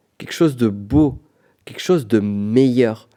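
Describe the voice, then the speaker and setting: Lively intonation marks this man's speech. His tone is dark and mellow, and his pace very slow. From Pyrenees, southwest France. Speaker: business coach, podcast host. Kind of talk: solo podcast monologue. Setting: on location in Florence. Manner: casual, conversational.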